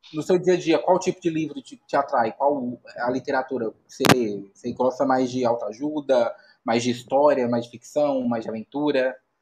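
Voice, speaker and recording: A plain, everyday voice from a man, medium in pitch with ordinary pitch variation, at a moderate pace, in a dry, close sound with no echo. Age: 30s. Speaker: podcast host. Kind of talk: casual interview. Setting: live stream.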